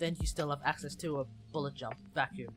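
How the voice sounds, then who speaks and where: Very fast speech over music in the background. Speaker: game streamer. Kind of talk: casual livestream discussion. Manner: quiet.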